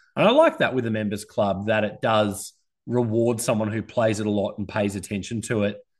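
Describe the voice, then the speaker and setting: In an Australian accent, a fairly low-pitched man talks at a fairly quick pace with flat, monotone intonation against a quiet background. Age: 30s. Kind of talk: casual chat.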